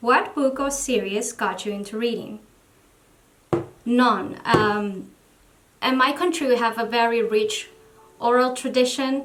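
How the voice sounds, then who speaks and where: Someone with a Spanish accent speaks at a fairly slow pace with long, frequent pauses and ordinary pitch variation, over noticeable background noise and audible room echo. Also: woman, high pitch for a woman. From Venezuela. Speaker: book vlogger. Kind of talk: casual vlog talk to camera. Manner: halting.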